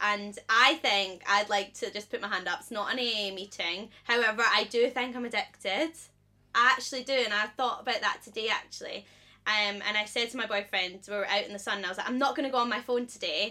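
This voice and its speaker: A woman's fairly high, bright and sharp voice, fairly even in intonation, at a fairly quick pace. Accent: Scottish. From Scotland. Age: 20s. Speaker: podcast co-host, presenter. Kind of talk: casual chat.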